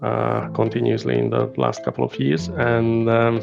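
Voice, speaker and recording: A man speaks with a Hungarian accent at a moderate pace. His pitch is very deep and low. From Hungary. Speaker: business consultant. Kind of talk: interview. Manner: hesitant, many fillers.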